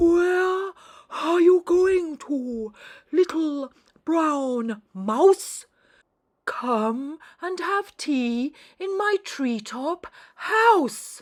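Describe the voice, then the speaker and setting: A put-on character voice at an extremely high pitch, very slow in pace, with long, frequent pauses. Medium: read story.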